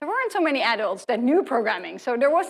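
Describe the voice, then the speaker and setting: A woman with a Dutch accent and lively intonation. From Netherlands. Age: 40s. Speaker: professor. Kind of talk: lecture.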